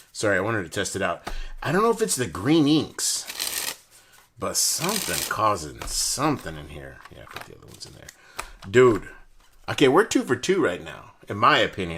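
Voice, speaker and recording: A man talks at a moderate pace, broken by long, frequent pauses. His loudness swings widely. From Texas. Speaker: deck review host. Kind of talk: casual chat. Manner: animated.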